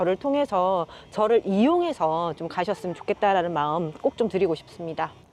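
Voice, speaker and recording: A woman with an unremarkable speaking voice talks at a moderate pace, her medium pitch carried by lively intonation. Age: 50s. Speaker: online seller interviewed about side business. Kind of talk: interview.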